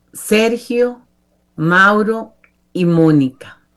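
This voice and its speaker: The speaker is a woman. She talks in a fairly high register. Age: 60s. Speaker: church women's group member. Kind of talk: testimony.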